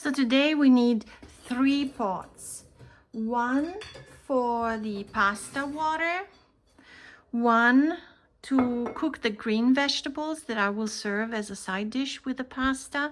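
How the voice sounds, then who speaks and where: Very slow speech in an Italian accent, with long, frequent pauses, ordinary pitch variation and a very clean recording, silent background. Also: woman, high pitch for a woman. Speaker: cooking channel host. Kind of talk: cooking tutorial. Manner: relaxed, conversational.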